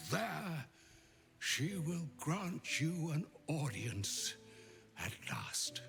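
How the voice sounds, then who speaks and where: A man does a put-on character voice at a fairly high pitch, very slowly and with long, frequent pauses. Clear music plays in the background. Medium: video game. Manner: grave, measured, gently wry.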